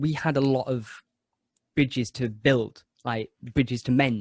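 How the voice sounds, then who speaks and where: The man's medium-pitched voice is somewhat breathy, with ordinary pitch variation and a dry, close sound with no echo. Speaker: actor and podcast host. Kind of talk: interview answer.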